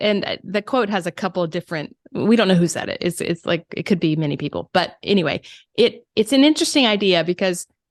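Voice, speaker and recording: Lively intonation and a fairly quick pace mark this woman with a Southern accent. The sound is dry and close, with no echo, over a quiet background. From US South, South Carolina. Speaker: first-time author and creative coach. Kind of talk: interview. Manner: halting, many repetitions.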